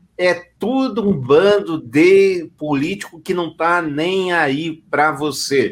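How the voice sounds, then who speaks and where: A man speaks at a very slow pace with hardly any pauses. His voice is high, with ordinary pitch variation. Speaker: podcast host. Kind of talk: casual chat. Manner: animated.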